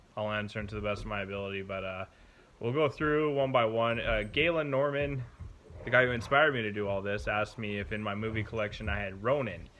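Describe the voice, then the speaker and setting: A man's fairly low voice with a bright, sharp tone, ordinary pitch variation, a very fast pace and audible room echo. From Canada. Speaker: car hobbyist vlogger. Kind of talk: casual vlog talk. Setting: home garage, then indoors.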